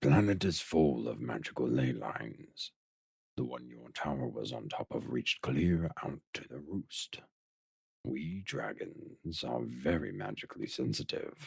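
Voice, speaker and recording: At a moderate pace, a man puts on a character voice with a very deep, low pitch. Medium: audio drama. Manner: measured, dignified, gently wise.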